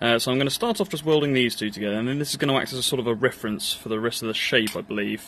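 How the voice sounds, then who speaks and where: In an English accent, a man speaks at a very fast pace and medium pitch with lively intonation over light background noise. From England. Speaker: metalwork YouTuber. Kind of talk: workshop vlog narration. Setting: outdoor workshop. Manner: casual, hesitant with fillers. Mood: light, self-deprecating. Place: garden. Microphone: phone near.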